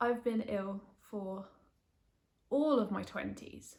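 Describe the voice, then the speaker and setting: A woman speaks at a medium pitch and fairly slow pace in a somewhat breathy voice. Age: 20s. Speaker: patient sharing illness story. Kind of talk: personal testimony vlog. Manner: casual, hesitant with fillers.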